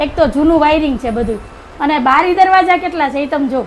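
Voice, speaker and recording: A woman speaks loudly in a high voice with ordinary pitch variation, and noticeable background noise can be heard. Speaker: family vlogger. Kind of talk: casual vlog narration.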